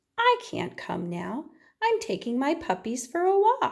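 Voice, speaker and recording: A woman puts on a squeaky character voice at an extremely high pitch, speaking at a fairly slow pace. The recording is very clean, with a silent background. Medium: read story.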